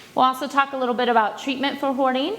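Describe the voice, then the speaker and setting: This is a woman speaking. Noticeable background noise can be heard. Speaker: counselor. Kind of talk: presentation to an audience.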